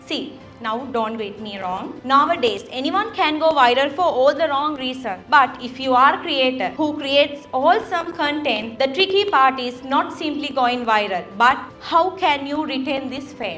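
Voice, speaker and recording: A woman with a Sri Lankan accent talks at a moderate pace in a high pitch with lively intonation and big swings in loudness, over music in the background and audible room echo. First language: Sinhalese. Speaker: content creator and keynote speaker. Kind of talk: keynote speech.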